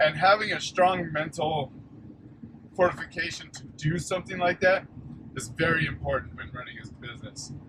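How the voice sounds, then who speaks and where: A man at a moderate pace with a fairly high pitch, over noticeable background noise. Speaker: junk removal business owner. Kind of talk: vlog monologue. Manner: loud; halting, repeats words.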